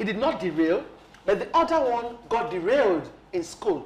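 A woman talks at a moderate pace in a fairly high voice. Her pitch swings very widely. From Nigeria. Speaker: health TV talk show anchor, doctor. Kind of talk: TV talk show discussion. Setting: TV studio. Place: studio. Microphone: lapel.

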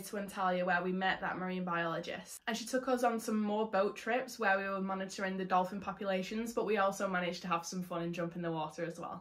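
A woman at a very fast pace over a quiet background. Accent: English. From England. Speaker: travel vlogger; conservation vlogger. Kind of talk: vlog narration. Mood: warm, enthusiastic. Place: home room.

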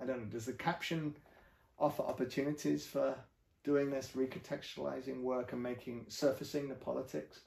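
A man speaks at a fairly quick pace with fairly even intonation, and audible room echo surrounds his voice. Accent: English. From England. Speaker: professor. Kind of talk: interview. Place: home room. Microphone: camera far.

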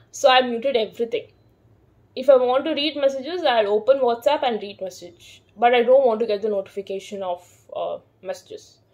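Her loudness swings widely as this woman speaks in a high pitch with ordinary pitch variation. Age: 30s. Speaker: vlogger. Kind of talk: casual vlog monologue. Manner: hesitant, many fillers. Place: home room. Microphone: phone near.

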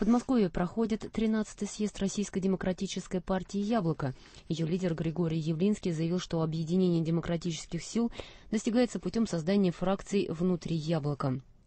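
A woman's somewhat breathy voice holds very even loudness at a moderate pace, with ordinary pitch variation. The sound is dry with no echo. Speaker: newsreader. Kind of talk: news reading. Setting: studio.

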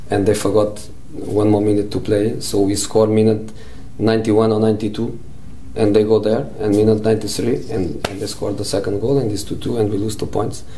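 Light background noise sits behind a man with a fairly low pitch. He talks at a fairly quick pace with fairly even intonation. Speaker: football coach. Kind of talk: interview answer, anecdote. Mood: amused, relaxed storytelling. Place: home room.

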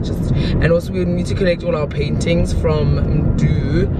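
Over music in the background, a woman speaks at a fairly slow pace, the sound dry with no echo. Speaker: vlogger. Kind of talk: casual vlog chat. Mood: relaxed, chatty, briefly somber. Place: car. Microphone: phone near.

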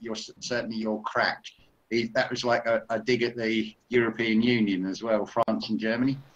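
A man's voice at a moderate pace, with monotone, flat intonation. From Essex, England; England. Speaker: spiritual commentator. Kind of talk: casual chat; group discussion on a call. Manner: halting. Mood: reflective, spiritual topics. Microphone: video call.

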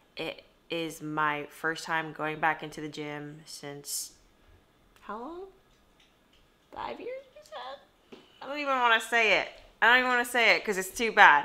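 A woman talks at a fairly slow pace with long, frequent pauses. Her pitch swings very widely and her loudness shifts a lot. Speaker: vlogger. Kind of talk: casual vlog chat. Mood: shy, self-deprecating. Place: home room. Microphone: phone near.

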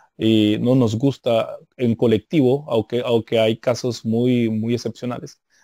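Against a quiet background, a man speaks very slowly at a medium pitch, with a dark, mellow tone, fairly even intonation and a dry sound with no echo. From United States. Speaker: Bible teacher / apologetics guest; Bible teacher, guest. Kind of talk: interview on theology. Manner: halting, many repetitions and fillers. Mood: calm, didactic. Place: home room.

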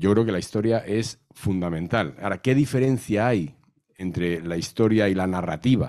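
With a dark, mellow tone and lively intonation, a man speaks at a moderate pace against a quiet background. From Madrid, Spain; Spain. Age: 60s. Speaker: novelist and historian; guest. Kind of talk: panel talk. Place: hall. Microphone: handheld.

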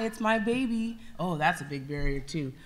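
Light background noise sits under this woman's voice. She speaks with an American accent at a moderate pace and a fairly high pitch. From California, Santa Barbara County; California. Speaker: nonprofit youth volunteer, panelist; panelist. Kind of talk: panel discussion. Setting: stage with audience. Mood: earnest, heartfelt. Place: stage. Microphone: handheld.

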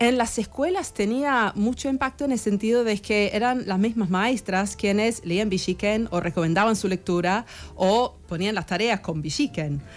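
An English accent, very even loudness and hardly any pauses. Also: woman, ordinary pitch variation, moderate pace. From England, Sheffield; England. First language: English (speaking Spanish). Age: 40s. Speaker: historian; guest. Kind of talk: radio interview; interview answer. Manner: halting. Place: studio. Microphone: studio mic.

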